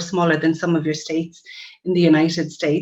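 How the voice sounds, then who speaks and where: A very fast-talking woman with an Irish accent and a fairly low pitch. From Ireland. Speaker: nurse practitioner. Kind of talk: webinar presentation. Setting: online webinar.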